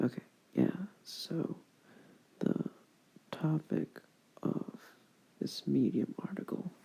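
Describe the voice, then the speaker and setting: Whispering fills the clip at a very slow pace. Long, frequent pauses break it up. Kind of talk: ASMR whisper ramble. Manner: whispered; rambling, hesitant.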